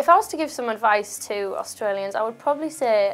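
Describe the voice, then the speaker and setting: Music plays in the background as a woman talks at a fairly quick pace with a fairly high pitch. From Australia.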